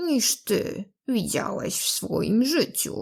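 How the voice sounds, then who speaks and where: A woman's put-on, growling character voice, high-pitched and very slow. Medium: read story.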